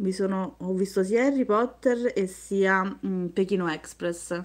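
This woman's pitch shows ordinary variation. She talks at a very slow pace. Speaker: craft youtuber. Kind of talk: live stream beading tutorial. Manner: chatty, talks nonstop. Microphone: phone near.

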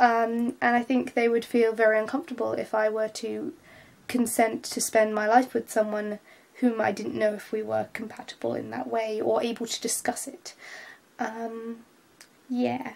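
With a British accent, a woman speaks at a moderate pace in a fairly high pitch, her intonation fairly even. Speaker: vlogger. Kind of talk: vlog monologue. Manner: hesitant, many filler words.

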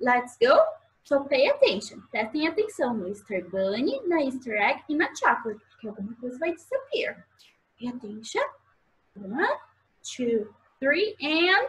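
Pausing long and often, a woman talks at a fairly slow pace in a high voice that swings very widely in pitch. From Brazil. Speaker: preschool English teacher. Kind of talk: children's lesson video. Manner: animated. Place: home room. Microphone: webcam.

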